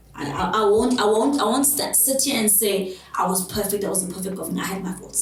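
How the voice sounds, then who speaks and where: Speaking loudly at a moderate pace, a woman has a medium-pitched voice. Audible room echo and noticeable background noise fill the recording. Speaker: abuse survivor. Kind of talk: interview testimony.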